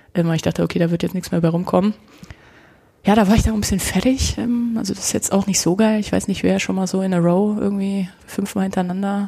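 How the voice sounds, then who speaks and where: Woman at a medium pitch, dark, mellow tone, somewhat breathy, very fast pace, fairly even intonation. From Germany, Nuremberg (Franconia). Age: 30s. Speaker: kendo practitioner. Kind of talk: casual interview.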